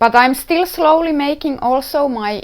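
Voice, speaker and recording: A woman speaks with a Finnish accent. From Finland. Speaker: knitwear designer and podcast host. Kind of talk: casual podcast talk. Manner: halting, searching for words; slow at times. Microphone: wearing a better-quality microphone.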